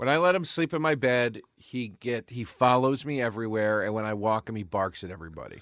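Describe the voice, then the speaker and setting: With a slight East Coast accent, a man speaks at a fairly quick pace with hardly any pauses, his medium-pitched voice showing lively intonation. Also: quiet background. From US East Coast. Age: 40s. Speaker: comedian. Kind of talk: casual chat.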